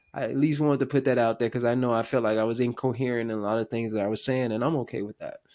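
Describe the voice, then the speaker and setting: A very fast, monotone, flat delivery from a man with an American accent. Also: medium pitch for a man, hardly any pauses. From rural US small town. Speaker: podcast host. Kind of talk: interview conversation. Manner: halting, many repetitions.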